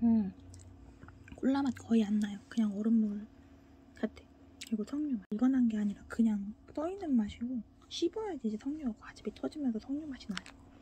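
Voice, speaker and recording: A woman speaks fairly quickly in a fairly high pitch, with ordinary pitch variation. Her tone is dark and mellow, broken by long, frequent pauses. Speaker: food video creator eating on camera. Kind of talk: casual solo eating show monologue. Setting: home, recorded at home. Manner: cheerful, animated, talks to viewers.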